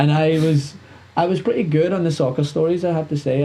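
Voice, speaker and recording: Here is a man speaking. He has a Scottish accent. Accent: Scottish, somewhat toned down. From Scotland. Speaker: sports and entertainment show host. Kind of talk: casual interview chat. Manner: fast, talkative.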